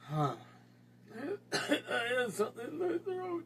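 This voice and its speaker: A put-on character voice with a fairly high pitch and very wide pitch swings goes at a fairly slow pace over clear background noise. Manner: glum, down in the dumps.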